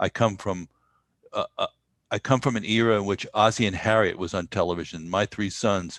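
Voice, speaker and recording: A man with a New York accent, fairly low in pitch, with fairly even intonation and a fairly quick pace, in a very clean recording with a silent background and a dry, close sound with no echo. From US Northeast, New York. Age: 70s. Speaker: Buddhist meditation teacher and musician. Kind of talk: podcast interview. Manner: halting.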